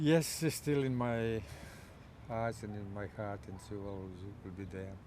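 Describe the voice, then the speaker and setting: Fairly slow speech from a man with a fairly low, dark, mellow voice, ordinary pitch variation and big swings in loudness, plus audible room echo. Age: 70s. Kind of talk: interview about a bereavement.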